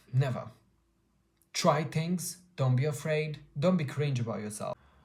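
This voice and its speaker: The speaker has a non-native accent and a fairly slow pace. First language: not English. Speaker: artist podcaster. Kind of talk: motivational monologue.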